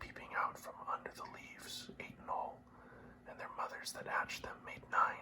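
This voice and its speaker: The speaker whispers at a moderate pace. Noticeable background noise runs underneath. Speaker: ASMR reader. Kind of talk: classic epic poetry reading for sleep. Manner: whispered.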